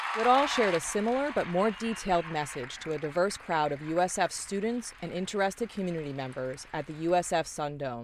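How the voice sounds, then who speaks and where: Over noticeable background noise, a woman with a fairly low voice talks at a fairly quick pace with lively intonation and hardly any pauses. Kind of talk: news report narration.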